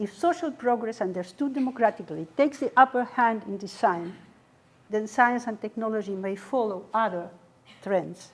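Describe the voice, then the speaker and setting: Her intonation is lively, and her pitch is fairly high. This woman speaks at a moderate pace. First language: not English. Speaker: academic panel speaker. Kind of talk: academic talk with slides.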